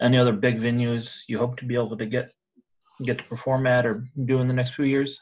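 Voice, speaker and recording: A man at medium pitch talking at a very fast pace. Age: 30s. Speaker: podcast host. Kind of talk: interview.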